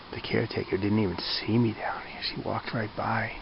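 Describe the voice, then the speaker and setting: Moderate-paced talk from a man, noticeable background noise all around. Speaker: hiker vlogger. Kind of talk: outdoor vlog. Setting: outdoors at campsite. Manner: casual, conversational; quiet, hushed.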